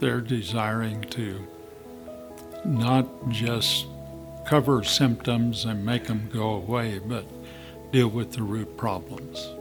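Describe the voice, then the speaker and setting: A man at medium pitch with ordinary pitch variation, very slow in pace with long, frequent pauses, and music in the background. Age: 70s. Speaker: patient giving testimonial. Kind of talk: testimonial interview answer.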